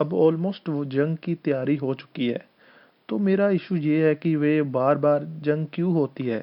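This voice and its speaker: A man with a Punjabi accent, fairly high in pitch, with ordinary pitch variation. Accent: Punjabi-accented Hindi. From Punjab, India. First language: Punjabi (speaking Hindi). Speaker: political commentator. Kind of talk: opinion monologue.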